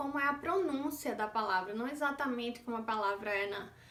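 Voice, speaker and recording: A woman with a northeastern Brazilian accent speaks at a moderate pace in a high voice, with audible room echo. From Northeast Brazil. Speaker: vlogger mother. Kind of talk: casual vlog monologue.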